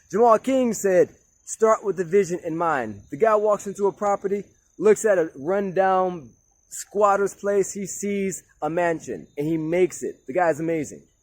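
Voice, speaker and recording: A loud man with a high pitch speaks at a moderate pace in an animated tone with ordinary pitch variation. The sound is dry and close, with no echo. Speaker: motivational speaker. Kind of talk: motivational talk. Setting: outdoors.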